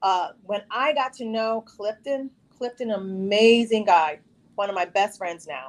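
At a fairly slow pace, a woman with an American accent and a normal speaking voice talks at a medium pitch with lively intonation. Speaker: reality show contestant. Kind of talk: casual chat. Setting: video call.

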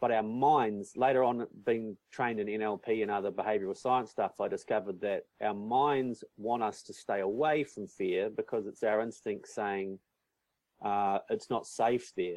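A man speaks with a New Zealand accent. His pace is fairly slow and his intonation fairly even. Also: medium pitch for a man. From New Zealand, North Island. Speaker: business coach and event organizer. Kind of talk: interview.

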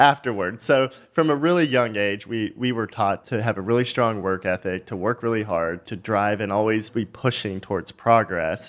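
Here is a man with an unremarkable speaking voice and an American accent, fairly low in pitch. He speaks with hardly any pauses. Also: ordinary pitch variation, moderate pace. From Texas, small town north of Dallas. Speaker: company founder and CEO. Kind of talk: interview.

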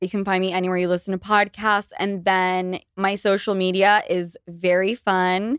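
At a moderate pace with hardly any pauses, a woman of medium pitch speaks with an American accent, the sound dry and close with no echo. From Utah. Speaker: podcaster. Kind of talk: casual chat. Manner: animated.

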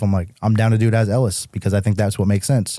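A man with an American accent, a fairly low pitch and a dark, mellow tone, monotone and flat in intonation, in a very clean recording with a silent background. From Massachusetts, New England. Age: 30s. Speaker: musician. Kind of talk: casual chat. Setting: studio.

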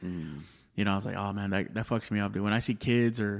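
On a very clean recording with a silent background, a normal speaking voice with an American accent moves at a fairly quick pace with ordinary pitch variation. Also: man. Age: 30s. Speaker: stand-up comedian. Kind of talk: casual chat.

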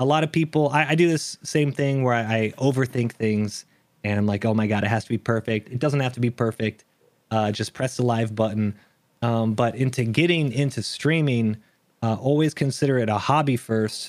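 This man has a medium pitch and ordinary pitch variation, speaking at a moderate pace with very even loudness. The recording is very clean, with a silent background. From Texas. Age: 30s. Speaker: gaming streamer and content creator. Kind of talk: casual interview chat.

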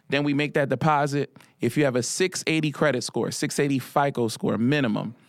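An unremarkable speaking voice with an American accent moves at a fairly quick pace, with fairly even intonation and very even loudness, on a very clean recording with a silent background. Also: man, fairly high pitch for a man. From Philadelphia, US. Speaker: financial literacy coach. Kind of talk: casual interview.

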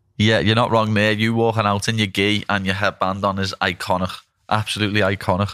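In a very clean recording with a silent background, a man with a northern English accent speaks at a fairly quick pace, his fairly low voice monotone and flat. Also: very even loudness. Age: 20s. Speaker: podcast host and fighter. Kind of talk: casual interview.

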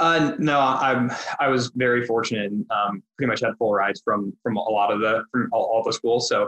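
A man speaks at a moderate pace in a medium pitch, with ordinary pitch variation and very even loudness. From US Midwest, Indianapolis, Indiana. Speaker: private equity investor, former college soccer player. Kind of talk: podcast interview.

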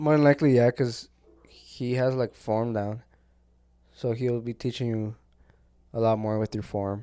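In a dry, close sound with no echo, a man with a dark, mellow tone and medium pitch speaks at a moderate pace with fairly even intonation and long, frequent pauses. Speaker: podcast co-host. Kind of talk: casual chat. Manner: casual, slangy, laughs often.

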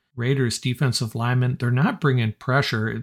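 With a dry, close sound and no echo, the somewhat breathy voice shows ordinary pitch variation on a very clean recording with a silent background. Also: man. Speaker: podcast host and sports analyst. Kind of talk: sports recap commentary, play-by-play style game recap. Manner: brisk, energetic, conversational fan enthusiasm with wry sarcasm.

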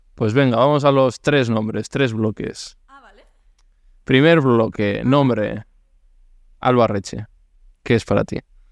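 A man of medium pitch talks at a fairly slow pace with long, frequent pauses, fairly even intonation and big swings in loudness. The sound is dry and close, with no echo. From Basque Country. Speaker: podcast host. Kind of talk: casual interview.

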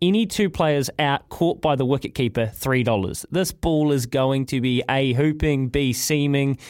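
The speaker talks at a moderate pace with a New Zealand accent. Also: man. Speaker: sports radio co-host and racing tipster. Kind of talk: breakfast radio show.

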